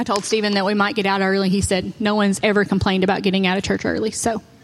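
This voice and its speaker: A woman speaks at a very fast pace with a medium pitch. Noticeable background noise sits behind her. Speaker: preacher. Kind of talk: sermon.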